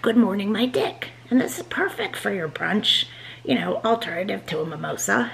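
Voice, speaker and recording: Over light background noise, a woman speaks at a moderate pace. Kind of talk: casual vlog chat, drink tutorial. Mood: playful, joking. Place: kitchen. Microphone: phone near.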